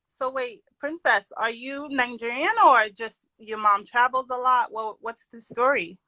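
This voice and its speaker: A woman with a high pitch and a bright, sharp tone speaks at a fairly slow pace with hardly any pauses. Her loudness swings widely, and the sound is dry and close with no echo. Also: ordinary pitch variation. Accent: New York. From New York. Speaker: doctor. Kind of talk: casual chat. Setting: live stream. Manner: lively.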